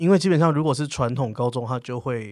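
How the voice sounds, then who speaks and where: A man talks at a medium pitch with ordinary variation and a dark, mellow tone. The recording is very clean, with a silent background. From southern Taiwan. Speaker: podcast host. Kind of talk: interview.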